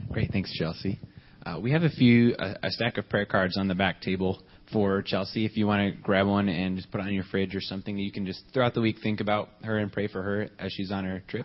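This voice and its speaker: With an ordinary speaking voice, a man talks at a fairly quick pace and with fairly even intonation. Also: fairly low pitch for a man. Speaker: church announcer. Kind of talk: announcement. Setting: church.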